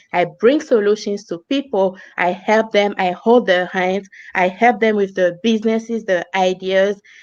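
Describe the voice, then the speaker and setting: In a Togolese accent, a woman with a medium pitch speaks with ordinary pitch variation. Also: moderate pace. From Togo, West Africa. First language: French or African languages. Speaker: business coach. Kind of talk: interview.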